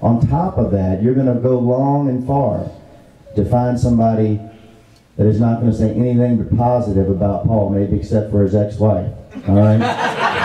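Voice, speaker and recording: Against noticeable background noise, a man with an American accent speaks at a medium pitch and moderate pace, his intonation fairly even and his loudness very even. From Fredericksburg, Virginia, USA. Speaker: auctioneer giving a tribute speech. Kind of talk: heartfelt tribute speech to a live audience.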